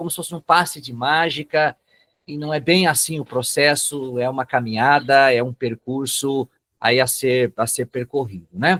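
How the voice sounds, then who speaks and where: This man talks with a northern Paraná accent at a fairly high pitch, with ordinary pitch variation and a moderate pace. His loudness swings widely, and the sound is dry and close with no echo. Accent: northern Paraná interior accent, rhotic r. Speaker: psychoanalyst and lecturer. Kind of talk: webinar lecture. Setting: online webinar.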